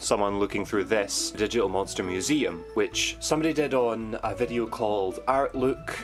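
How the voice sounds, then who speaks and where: A man speaks with music playing in the background. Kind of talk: casual unboxing review talk.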